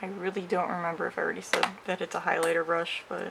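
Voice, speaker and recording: The speaker mumbles at a fairly quick pace over noticeable background noise. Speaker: makeup creator. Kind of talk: makeup tutorial talk to camera. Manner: hesitant, mumbling.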